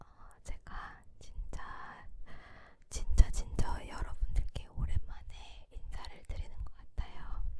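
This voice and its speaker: Someone whispers at a very slow pace. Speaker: ASMR creator, office worker. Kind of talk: whispered ASMR chat. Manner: whispered.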